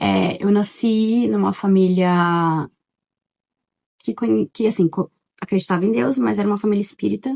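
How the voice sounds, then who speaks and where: A soft-spoken woman talks at a medium pitch in a dark, mellow tone, with very wide pitch swings and very even loudness. Her moderate pace includes long, frequent pauses, and the sound is dry and close with no echo. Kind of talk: testimony. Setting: at home in living room. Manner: casual, chatty.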